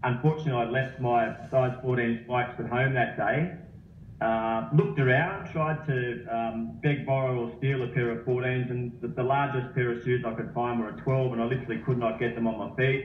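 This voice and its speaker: Music plays in the background as a man speaks in an Australian accent. His medium pitch has ordinary variation, and his pace is moderate. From Australia, Sydney. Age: 40s. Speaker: running coach. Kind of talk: interview.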